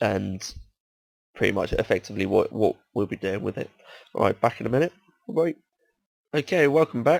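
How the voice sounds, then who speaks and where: The recording is dry and close, without echo. In it, a man talks in a British accent. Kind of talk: casual gameplay commentary.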